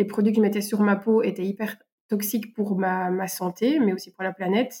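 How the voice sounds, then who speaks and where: Monotone, flat intonation and a dark, mellow tone define this woman's speech. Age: 30s. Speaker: French teacher and eco activist. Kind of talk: interview. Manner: hesitant, with fillers.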